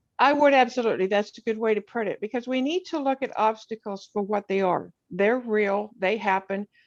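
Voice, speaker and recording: An ordinary speaking voice from a woman, fairly high in pitch with ordinary pitch variation, at a fairly quick pace with hardly any pauses, in a dry, close sound with no echo over a quiet background. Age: 60s. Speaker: poet and writer. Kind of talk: interview.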